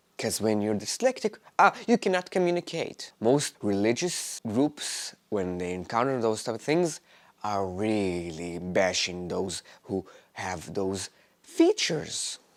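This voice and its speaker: Very wide pitch swings mark this man's speech, delivered with a non-native accent. The recording is very clean, with a silent background. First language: not English. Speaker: vlogger. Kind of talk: personal monologue. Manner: halting.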